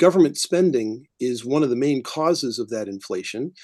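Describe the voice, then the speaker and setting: Over a quiet background, a man with an American accent speaks at a moderate pace with lively intonation and a dark, mellow tone. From US Midwest. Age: 60s. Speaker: political candidate. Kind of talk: candidate forum answer.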